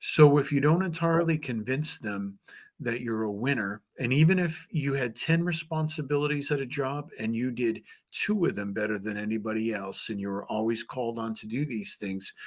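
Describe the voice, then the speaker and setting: This man has a plain, everyday voice at medium pitch. He talks at a moderate pace with lively intonation. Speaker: author and job interview coach. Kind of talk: presentation.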